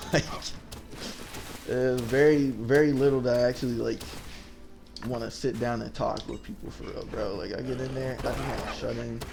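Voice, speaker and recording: Amid noticeable background noise and audible room echo, a man talks at a moderate pace with big swings in loudness and long, frequent pauses. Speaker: gaming youtuber. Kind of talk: gameplay commentary. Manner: stuttering; casual rambling.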